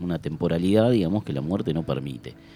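A man talks in a very deep, low voice. Music can be heard behind him. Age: 40s. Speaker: community radio host, health worker. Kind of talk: casual chat.

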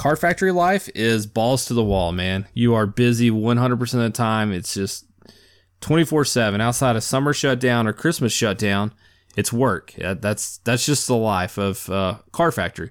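A man's plain, everyday voice at medium pitch and moderate pace, in a very clean recording with a silent background. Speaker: podcast host. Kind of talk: casual solo monologue.

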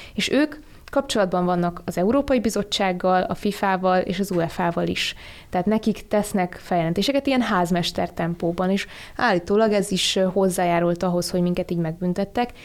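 Here a woman speaks fairly quickly at a medium pitch, in an ordinary speaking voice. Her pitch varies in an ordinary way, and her loudness stays very even. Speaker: policy analyst. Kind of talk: radio discussion. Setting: studio.

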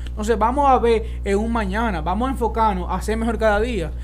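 The speech runs at a fairly quick pace while music plays in the background. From Dominican Republic. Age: young. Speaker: podcast host. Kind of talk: casual chat.

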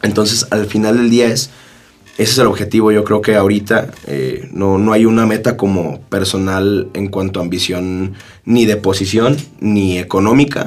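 The man's pitch is fairly low, with ordinary variation, and he speaks at a moderate pace. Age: 20s. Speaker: lawyer and young politician. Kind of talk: casual interview. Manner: hesitant, many fillers and repetitions.

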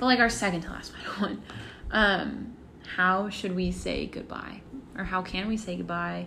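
With audible echo from the room, a woman's words come out fairly slowly. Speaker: college student podcast co-host. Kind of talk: casual chat.

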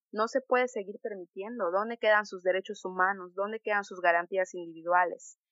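The voice has big swings in loudness but fairly even intonation. There are hardly any pauses. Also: woman, medium pitch for a woman, fairly quick pace. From Yucatán, Mexico. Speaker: student activist. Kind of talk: interview podcast. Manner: impassioned.

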